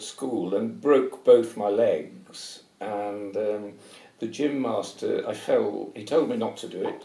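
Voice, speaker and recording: A man's fairly slow speech in a southern English accent, with audible room echo and noticeable background noise. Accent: English, educated southern British. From England, Nottingham. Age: 70s. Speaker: retired paediatric anaesthetist. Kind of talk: interview. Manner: halting, with repetitions.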